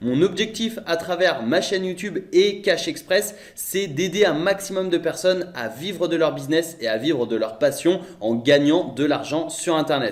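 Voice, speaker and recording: A high-pitched man speaks at a fairly slow pace with hardly any pauses. Noticeable background noise runs underneath. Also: lively intonation. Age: 20s. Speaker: online entrepreneur / YouTuber. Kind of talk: sales pitch.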